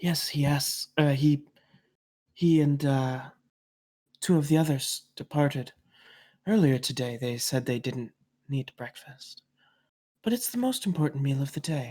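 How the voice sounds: Someone puts on a breathy character voice at a low-to-middle pitch, moving at a moderate pace with long, frequent pauses, in a very clean recording with a silent background.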